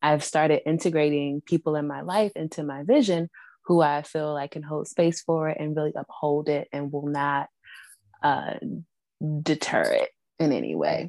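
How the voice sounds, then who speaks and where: A woman with an American accent and a very deep, low pitch speaks at a moderate pace with fairly even intonation, in a dry, close sound with no echo. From Washington, D.C. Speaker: Reiki practitioner. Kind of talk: casual interview conversation. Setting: video call.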